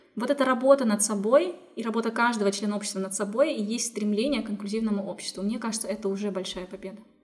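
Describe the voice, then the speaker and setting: A woman talks at a very fast pace with hardly any pauses, her fairly high voice showing ordinary pitch variation and big swings in loudness. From Kazakhstan, Zhezkazgan. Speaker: inclusive education center founder. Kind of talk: interview.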